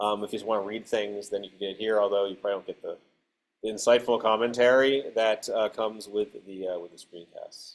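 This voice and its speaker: Talking at a very fast pace, a man with a fairly low pitch keeps his intonation fairly even while his loudness swings widely. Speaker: lecturer. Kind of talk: casual classroom. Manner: hesitant, many fillers.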